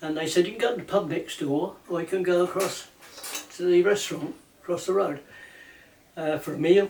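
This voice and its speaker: A man speaks fairly quickly with an English accent, his pitch high and his intonation fairly even. Noticeable background noise sits behind him. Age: 80s+. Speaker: ukulele banjo player and maker. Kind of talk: casual storytelling, reminiscing.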